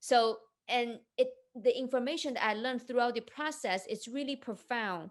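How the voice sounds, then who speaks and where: Over a quiet background, a woman with a high voice talks at a moderate pace with ordinary pitch variation. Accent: Chinese. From China. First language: Chinese. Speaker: entrepreneur and investment coach. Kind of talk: interview.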